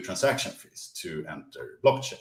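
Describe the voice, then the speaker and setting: A man with a non-native accent at a moderate pace. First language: not English. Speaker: crypto project presenter. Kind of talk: presentation. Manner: halting, many fillers and repeats.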